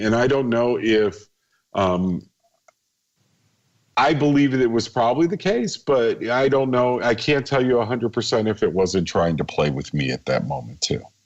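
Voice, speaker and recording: Lively intonation marks this man's speech at a moderate pace. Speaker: paranormal author. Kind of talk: radio interview. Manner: halting.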